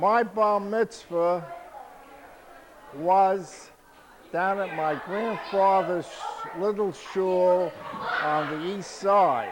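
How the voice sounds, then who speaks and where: With a New York accent and a high pitch, a man speaks at a very slow pace with long, frequent pauses, amid noticeable background noise and audible room echo. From New York City (Harlem, Bronx). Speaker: family elder interviewed. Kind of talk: family oral history interview.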